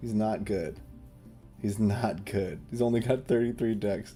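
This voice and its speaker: Over music in the background, a man whispers quietly at a moderate pace. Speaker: game streamer and tournament caster. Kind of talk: live commentary. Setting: live stream. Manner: whispering, quiet; animated.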